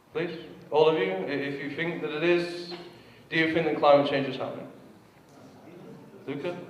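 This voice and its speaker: Pausing long and often, a man speaks at a fairly high pitch with ordinary pitch variation. Noticeable background noise and audible room echo surround him. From England. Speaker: activist lecturer. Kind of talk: lecture. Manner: fast.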